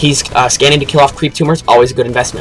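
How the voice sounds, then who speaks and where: A man speaks at a very fast pace in a fairly high pitch. Music plays in the background. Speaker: esports caster. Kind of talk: live game commentary. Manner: animated.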